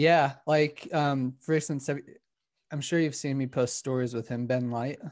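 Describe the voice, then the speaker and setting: An unremarkable speaking voice with an American accent talks at a moderate pace with fairly even intonation over a quiet background. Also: man, fairly high pitch for a man. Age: 30s. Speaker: ultra runner. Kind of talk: casual chat.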